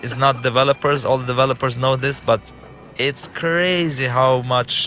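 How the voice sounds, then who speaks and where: A man speaks at a moderate pace with fairly even intonation. Music plays in the background. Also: medium pitch for a man. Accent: Arabic. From Lebanon. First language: Arabic. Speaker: game writer-director and filmmaker. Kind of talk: game commentary walkthrough. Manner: halting, with fillers and restarts.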